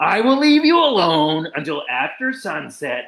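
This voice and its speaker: A man growls through a put-on character voice, pitched high for a man with very wide pitch swings. He keeps a moderate pace. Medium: read story. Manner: growling, menacing.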